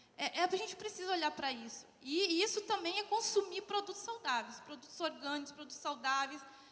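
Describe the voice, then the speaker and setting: A woman speaks in a raised, projected voice. Her intonation is lively and her pace moderate. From southern Brazil, Porto Alegre. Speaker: social enterprise founder. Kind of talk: conference panel talk.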